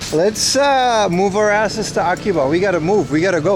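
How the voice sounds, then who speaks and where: Over noticeable background noise and audible room echo, a man with a high voice talks at a fairly quick pace in an animated tone, his loudness very even and his pitch varying in an ordinary way. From Aruba. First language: Papiamento and Dutch. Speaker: livestreamer. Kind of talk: casual chat reading live chat.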